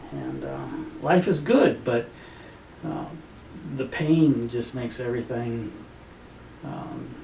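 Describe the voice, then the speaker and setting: Amid audible room echo and noticeable background noise, a man speaks at a very slow pace with long, frequent pauses. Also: big swings in loudness. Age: 60s. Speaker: patient, retired firefighter and army veteran. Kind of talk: testimony interview. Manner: hesitant, many fillers.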